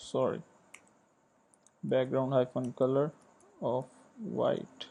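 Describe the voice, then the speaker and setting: A man's medium-pitched voice with a non-native accent, ordinary pitch variation and a very slow pace. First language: not English. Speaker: programming tutor. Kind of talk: tutorial. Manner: hesitant, many fillers.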